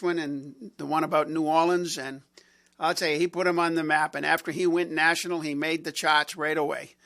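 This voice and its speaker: With a Boston accent, a man speaks at a high pitch in a bright, sharp tone with fairly even intonation, in a very clean recording with a silent background. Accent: Boston area. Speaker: radio host. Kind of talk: casual chat. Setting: studio.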